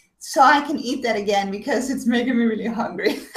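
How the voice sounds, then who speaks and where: A woman's fairly high, somewhat breathy voice with lively intonation at a fairly quick pace. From Netherlands, Amsterdam. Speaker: web show host with chronic illness. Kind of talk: casual chat.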